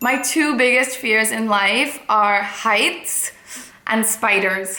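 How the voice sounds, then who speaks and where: Speaking very slowly over noticeable background noise, a woman keeps a fairly high pitch, very even loudness and fairly even intonation. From India, Mumbai. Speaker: fashion and lifestyle blogger. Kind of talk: casual chat to camera.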